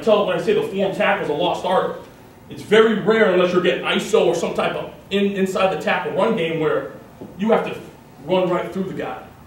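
In an American accent, a man speaks with a high pitch, with audible room echo and light background noise. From Massachusetts. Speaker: college football coach. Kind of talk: coaching clinic lecture. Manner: fast. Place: meeting room. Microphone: camera far.

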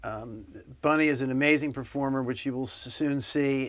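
With fairly even intonation, this man keeps to a moderate pace. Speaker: music show host. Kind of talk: interview. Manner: halting. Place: studio. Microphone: lapel.

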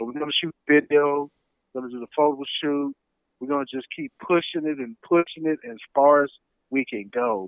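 A man with a plain, everyday voice, fairly high in pitch, at a moderate pace, with fairly even intonation and big swings in loudness. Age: 50s. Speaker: retired army veteran and author. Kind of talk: interview.

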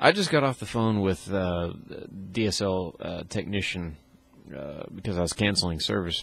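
A man speaks in a very deep, low pitch with ordinary pitch variation. His moderate pace comes through in a dry sound with no echo. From Louisiana. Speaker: computer technician vlogger. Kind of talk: casual vlog monologue. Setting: at home, recording video. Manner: hesitant, many fillers. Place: home room. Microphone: handheld.

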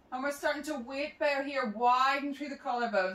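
Audible room echo surrounds a woman's voice. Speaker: movement instructor. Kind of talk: exercise class instruction. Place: home room. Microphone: camera far.

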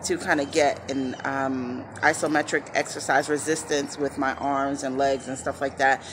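Against noticeable background noise, a woman with a very deep, low pitch talks at a moderate pace. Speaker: vlogger. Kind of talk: casual vlog chat. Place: street. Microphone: phone near.

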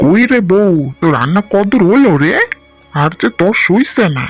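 At a moderate pace and middle pitch, a cartoonish character voice carries over faint music in the background. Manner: warm, rustic.

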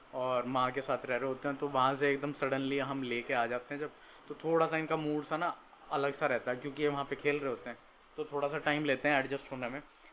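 A man talks at a fairly quick pace in a monotone with flat intonation. Light background noise can be heard. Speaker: vlogger. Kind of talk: casual vlog chat. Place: home room. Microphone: phone near.

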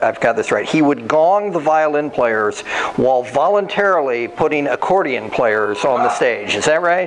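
With a plain, everyday voice, a man speaks at a fairly high pitch and moderate pace with lively intonation, very even loudness and hardly any pauses, over light background noise. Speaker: museum event host. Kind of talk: live interview before audience. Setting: stage with audience. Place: hall. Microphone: handheld.

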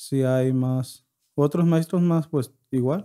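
A man with a dark, mellow tone and a fairly high pitch speaks at a very slow pace with fairly even intonation against a quiet background. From Yoreme Mayo community, northwestern Mexico; northwestern Mexico. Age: 20s. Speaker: podcast guest. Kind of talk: interview; interview answer. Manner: halting. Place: studio. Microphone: studio mic.

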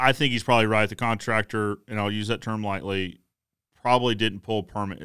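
Against a quiet background, a man talks with fairly low pitch, a bright, sharp tone and fairly even intonation. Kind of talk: commentary. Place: home room. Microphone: studio mic.

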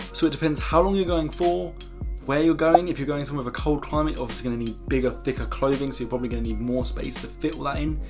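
Someone talks at a very fast pace over clear music in the background. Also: man. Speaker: travel vlogger. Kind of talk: tutorial. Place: home room.

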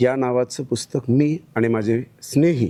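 Dark, mellow male speech at a medium pitch. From Maharashtra, Banjara community. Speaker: author. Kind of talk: interview soundbite.

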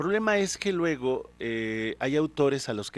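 The recording is dry with no echo, and the voice makes very wide pitch swings. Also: man. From Hidalgo, Mexico. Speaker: poet. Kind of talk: interview answer. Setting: studio. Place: studio. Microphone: handheld.

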